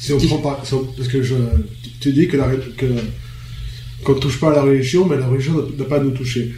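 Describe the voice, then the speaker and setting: The man talks fairly slowly. His delivery is flat, a monotone throughout. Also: medium pitch for a man. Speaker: panelist. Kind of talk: radio discussion. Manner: halting.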